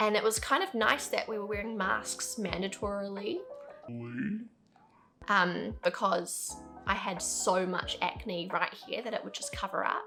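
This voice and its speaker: Over music in the background, a woman talks at a fairly slow pace with long, frequent pauses. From New Zealand. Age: 20s. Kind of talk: casual talk to camera.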